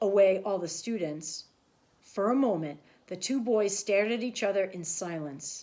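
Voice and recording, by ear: In a natural voice, the text is read aloud.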